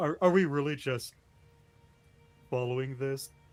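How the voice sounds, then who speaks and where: Putting on a character voice, a man speaks nasally at a medium pitch. His pace is moderate, and music plays in the background. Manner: pinched, nose plugged.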